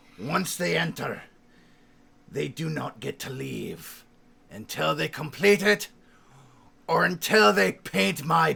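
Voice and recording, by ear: In a put-on character voice, a man sounds raspy and fairly high-pitched with a theatrical, menacing tone.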